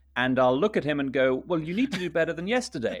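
A man with a German accent speaks using lively intonation. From Luxembourg. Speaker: international news reporter. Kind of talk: political discussion podcast. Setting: remote call.

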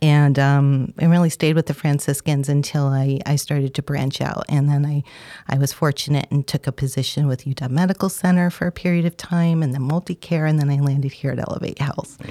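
A woman with an American accent speaks in a very deep, low pitch and a dark, mellow tone, monotone and flat, at a fairly quick pace with hardly any pauses, the sound dry and close with no echo. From upstate New York. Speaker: clinical social worker and therapist. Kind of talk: interview conversation.

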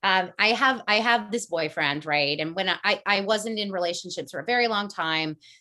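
A woman with a US Northeastern accent speaks at a fairly quick pace and medium pitch, her bright, sharp tone and lively intonation caught on a very clean recording with a silent background. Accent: US Northeast. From US Northeast, Connecticut (Fairfield County). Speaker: energy coach. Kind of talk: casual interview. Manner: fast, with many fillers.

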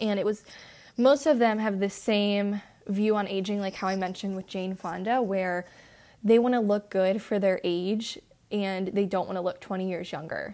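A woman with a normal speaking voice talks at medium pitch and a moderate pace, her intonation fairly even. The recording is very clean with a silent background. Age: 20s. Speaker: podcast co-host. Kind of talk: casual chat.

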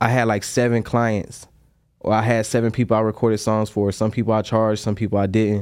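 A man with an American accent speaks at a fairly low pitch in a monotone, flat delivery. The recording is very clean with a silent background. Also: fairly quick pace, very even loudness. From US South, North Carolina (Durham). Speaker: chef and robe maker. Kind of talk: casual chat.

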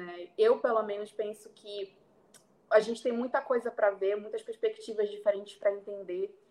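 A woman's ordinary speaking voice, fairly high in pitch, with fairly even intonation, big swings in loudness and a moderate pace. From Brazil, Belém (Pará). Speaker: international relations student. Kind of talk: interview.

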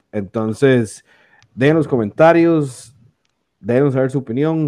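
Against a quiet background, a man with a dark, mellow tone speaks at a moderate pace, medium in pitch with ordinary pitch variation. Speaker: podcast host. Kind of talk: casual chat.

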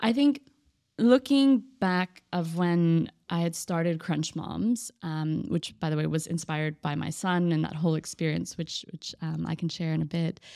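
A woman with a Texan accent and a fairly low, dark, mellow voice speaks at a moderate pace with lively intonation in a very clean recording with a silent background. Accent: American, Texan. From Texas (Austin). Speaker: entrepreneur. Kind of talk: casual interview.

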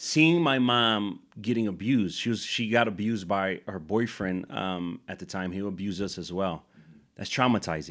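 A man's plain, everyday voice, fairly low in pitch, with lively intonation at a moderate pace, on a very clean recording with a silent background. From Chicago, Puerto Rican community. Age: 30s. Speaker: nonprofit leader. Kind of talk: casual interview.

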